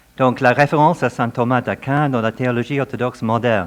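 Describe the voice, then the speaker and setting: The speaker is a man. His pitch is medium. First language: not French (speaking French). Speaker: professor of theology. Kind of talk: academic lecture. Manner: reading from prepared text.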